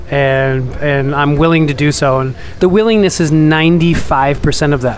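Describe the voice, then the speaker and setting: Fairly high-pitched man with an American accent and ordinary pitch variation, over noticeable background noise. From New York. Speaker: entrepreneur. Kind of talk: casual interview.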